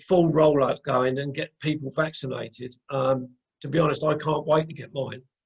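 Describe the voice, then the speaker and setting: The voice is somewhat breathy. It runs at a fairly quick pace. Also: man. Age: 60s. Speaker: podcast host interviewing a guest. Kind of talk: casual interview chat. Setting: video call. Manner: halting, many fillers and repeats.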